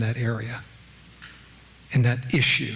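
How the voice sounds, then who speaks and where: Audible room echo follows a man who speaks at a fairly slow pace. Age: old. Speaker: former judge and lecturer. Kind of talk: public lecture.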